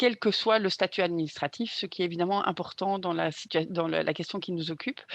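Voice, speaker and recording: A woman's voice, medium in pitch, moves at a moderate pace with fairly even intonation. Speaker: activist. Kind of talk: conference talk. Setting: conference panel with interpreters. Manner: hesitant, many fillers.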